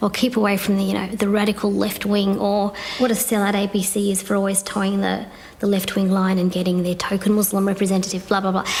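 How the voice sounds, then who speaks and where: A woman's medium-pitched voice in a Victorian Australian accent, flat and monotone, against noticeable background noise. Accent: country Victorian Australian. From Australia, country Victoria (Bendigo). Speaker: cross-cultural consultant and activist. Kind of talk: interview monologue.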